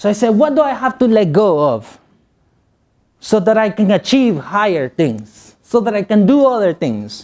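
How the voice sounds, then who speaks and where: This man speaks with a Spanish accent at a moderate pace. His pitch is high. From Guatemala. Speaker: motivational speaker. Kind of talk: motivational speech.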